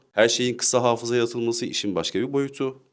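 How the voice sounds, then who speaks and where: A man's medium-pitched voice with vocal fry, at a fairly quick pace. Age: 20s. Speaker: discussion partner. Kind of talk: casual discussion.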